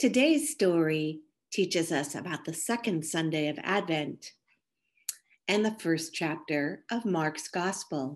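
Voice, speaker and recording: A woman with an unremarkable speaking voice, a fairly low pitch and ordinary pitch variation. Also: fairly slow pace, quiet background. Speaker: church program narrator and prayer leader. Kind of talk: scripture reading and closing prayer.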